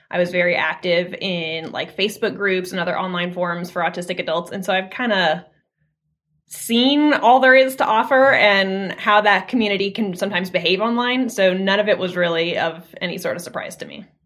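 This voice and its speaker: An unremarkable speaking voice from a woman with an American accent, medium in pitch, fairly quick in pace, with ordinary pitch variation. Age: 20s. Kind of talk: interview.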